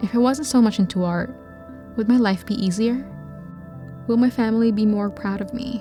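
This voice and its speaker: Music plays behind a woman whose fairly high voice moves at a moderate pace with fairly even intonation and long, frequent pauses. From Metro Manila, Philippines. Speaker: video editor and filmmaker. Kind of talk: reflective personal vlog voiceover. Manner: soft-spoken, introspective.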